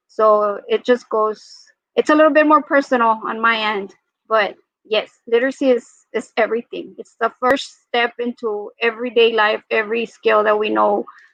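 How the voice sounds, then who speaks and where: A woman with a Spanish accent speaks with fairly even intonation. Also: fairly high pitch for a woman, moderate pace. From Mexico. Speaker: school librarian. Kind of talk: panel discussion.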